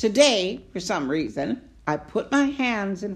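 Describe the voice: Reading aloud, plain and simple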